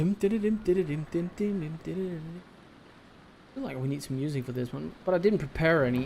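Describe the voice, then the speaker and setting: Mumbling at a fairly quick pace, a man with a fairly high pitch uses lively intonation and takes long, frequent pauses. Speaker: video game streamer. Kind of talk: live gameplay commentary. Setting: live stream.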